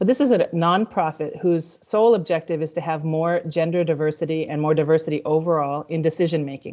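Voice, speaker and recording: A woman with an American accent speaks at a fairly quick pace in a fairly low pitch, her tone dark and mellow, with ordinary pitch variation. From United States. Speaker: corporate diversity executive. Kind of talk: panel discussion.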